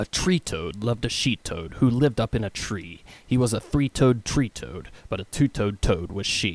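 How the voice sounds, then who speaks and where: An ordinary speaking voice from a man, medium in pitch with lively intonation. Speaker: voice actor. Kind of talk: tongue twister reading. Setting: studio.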